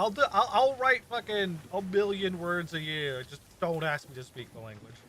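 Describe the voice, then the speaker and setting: A man mumbles at a moderate pace in a high pitch with a bright, sharp tone. His voice has very wide pitch swings and big swings in loudness. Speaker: streamer. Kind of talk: casual chat. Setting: live stream. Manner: mumbling.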